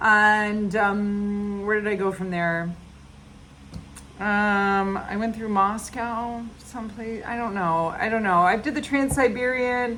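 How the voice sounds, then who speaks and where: A woman with an American accent speaks at a very slow pace, her pitch fairly high and her intonation fairly even. Audible room echo surrounds her voice. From United States. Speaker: podcast host, animal sanctuary founder. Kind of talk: casual monologue. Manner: loud; halting, many fillers.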